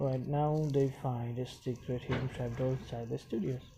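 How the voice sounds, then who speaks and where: Somewhat breathy, a man speaks with a non-native accent. His medium pitch shows ordinary variation. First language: not English. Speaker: YouTube reviewer. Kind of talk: recap narration; casual outro. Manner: halting, many fillers.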